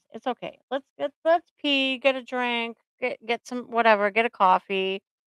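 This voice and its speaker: A woman with a New England accent at a moderate pace, with lively intonation. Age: 50s. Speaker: therapist. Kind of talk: casual chat. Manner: animated.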